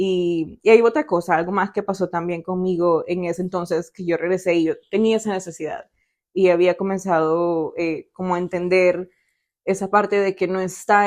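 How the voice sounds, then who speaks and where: Behind the voice, things stay quiet. Its intonation is monotone and flat. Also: woman. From El Salvador. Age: 20s. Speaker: podcast guest sharing faith story. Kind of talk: testimony. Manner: hesitant, many fillers.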